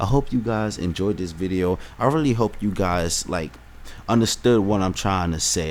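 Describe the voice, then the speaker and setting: Lively intonation and an animated tone mark this man's speech. His pitch is fairly low and his pace moderate. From United States. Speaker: vlogger. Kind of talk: opinion vlog. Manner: halting, self-interrupting.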